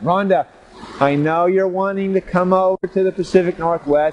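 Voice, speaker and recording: A loud, high-pitched male voice with noticeable background noise. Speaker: gardening show host. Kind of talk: casual video show talk. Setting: outdoors in the rain. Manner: animated.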